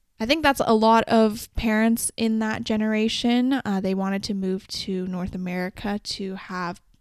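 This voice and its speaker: A woman with a Canadian accent and a normal speaking voice, fairly high-pitched, at a moderate pace with hardly any pauses and fairly even intonation, in a very clean recording with a silent background. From Canada. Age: 20s. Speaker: podcast host. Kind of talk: solo podcast monologue. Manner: casual, conversational.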